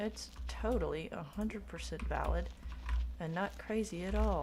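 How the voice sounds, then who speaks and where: Quietly and at a moderate pace, a woman with an American accent speaks amid audible room echo. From Oklahoma. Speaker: livestreamer. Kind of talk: casual chat.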